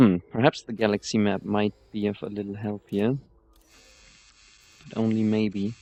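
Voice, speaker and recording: With a non-native accent, a man speaks at a fairly slow pace in a fairly low pitch for a man. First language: not English. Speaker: video game streamer. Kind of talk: gameplay commentary. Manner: halting.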